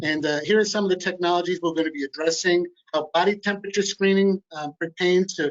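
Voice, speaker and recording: A high-pitched man speaks at a very fast pace in a New York accent. His pitch variation is ordinary. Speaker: company executive presenting technology. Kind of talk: webinar presentation.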